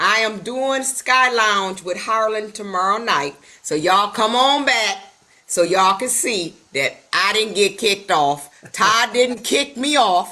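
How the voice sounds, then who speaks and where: An ordinary speaking voice moves at a fairly slow pace. Its intonation is lively. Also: woman. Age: 60s. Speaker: retired lounge co-host, business coach. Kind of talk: casual chat.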